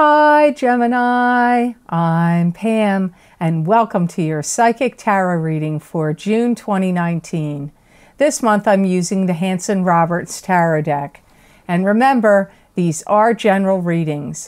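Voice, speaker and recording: A woman talks fairly slowly with lively intonation, the background quiet. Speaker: tarot reader. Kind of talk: casual vlog chat. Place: home room.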